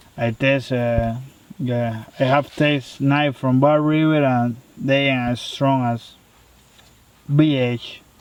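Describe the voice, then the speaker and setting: A man with a non-native accent speaks at a medium pitch and a very slow pace, his intonation monotone and flat. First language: not English. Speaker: knife reviewer. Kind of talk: product review. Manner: hesitant, many fillers.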